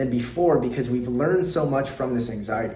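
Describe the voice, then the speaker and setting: With noticeable background noise and audible room echo, a man speaks at a fairly quick pace and medium pitch, with ordinary pitch variation. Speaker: anxiety coach. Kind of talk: motivational talk to camera. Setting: sitting at a desk. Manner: unscripted, from the heart.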